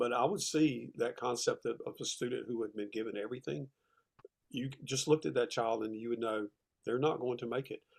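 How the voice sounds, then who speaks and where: Speaking in a Southern US accent, a man talks. His pace is fairly quick. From US South, South Carolina (Rock Hill). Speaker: retired teacher and author. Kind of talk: interview conversation. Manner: halting, with fillers and repeats.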